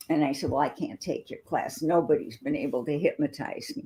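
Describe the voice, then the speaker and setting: A woman with an American accent has a dark, mellow, somewhat breathy tone. Her fairly low voice makes very wide pitch swings. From US Midwest, northern Wisconsin. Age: 70s. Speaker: debut book author. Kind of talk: interview conversation.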